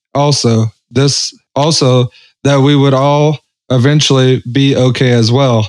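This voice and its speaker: A fairly high-pitched man with a Southern US accent, at a fairly slow pace and in a monotone, flat intonation. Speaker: podcast co-host. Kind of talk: casual chat.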